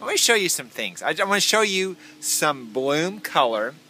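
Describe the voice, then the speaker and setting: Over music in the background, a man talks. His pitch swings very widely. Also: dry sound with no echo. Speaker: gardening vlogger. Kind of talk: casual vlog chat. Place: garden. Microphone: phone near.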